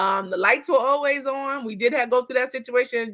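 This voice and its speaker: A woman's animated, high-pitched voice with a bright, sharp tone and a New York accent. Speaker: therapist. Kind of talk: interview. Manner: fast.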